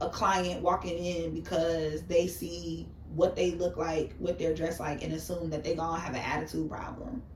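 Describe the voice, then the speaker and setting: This is a woman's voice. She has a New York accent. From New York City. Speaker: makeup artist.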